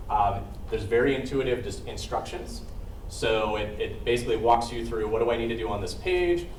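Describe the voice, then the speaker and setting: A man's fairly quick speech amid noticeable background noise, with audible echo from the room. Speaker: software trainer. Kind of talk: software demo presentation. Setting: meeting room with online attendees. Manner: fast.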